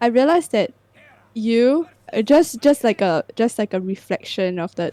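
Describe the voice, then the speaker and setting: Lively in intonation and fairly high-pitched, a woman talks at a fairly slow pace in a dry, close sound with no echo. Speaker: podcast co-host. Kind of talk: casual chat. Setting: livestream. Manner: halting.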